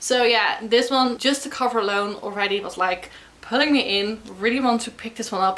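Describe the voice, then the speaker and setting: With a Dutch accent, a woman speaks at a moderate pace in a fairly high pitch over noticeable background noise. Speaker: book vlogger. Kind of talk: casual vlog talk to camera. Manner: animated.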